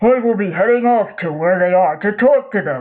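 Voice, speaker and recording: A man puts on a character voice, high-pitched and with lively intonation. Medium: audio drama. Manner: pompous, hearty.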